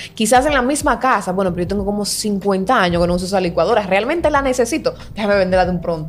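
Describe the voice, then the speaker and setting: Words come at a very fast pace with an animated tone and lively intonation. Background noise is noticeable throughout. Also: woman. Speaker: podcast co-host. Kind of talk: casual chat.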